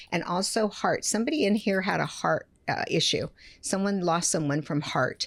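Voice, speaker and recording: With a normal speaking voice, a woman of medium pitch talks at a moderate pace, her intonation lively and her loudness very even. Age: 60s. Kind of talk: live psychic reading in podcast chat.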